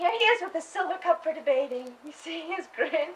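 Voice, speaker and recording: A woman uses a put-on character voice, squeaky and extremely high-pitched, with lively intonation at a fairly quick pace. Her loudness swings widely as she goes. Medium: short film. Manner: soft, hesitant.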